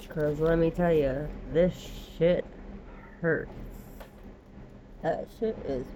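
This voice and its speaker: Over noticeable background noise, a woman speaks very slowly in a very deep, low pitch. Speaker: tarot reader. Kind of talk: casual tarot reading vlog.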